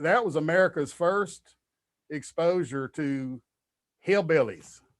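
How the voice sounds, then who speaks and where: On a very clean recording with a silent background, a man with a strong Kentucky accent speaks at a very slow pace, his pitch fairly high and his pitch variation ordinary. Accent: thick Kentucky. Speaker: comedian. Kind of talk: podcast interview conversation.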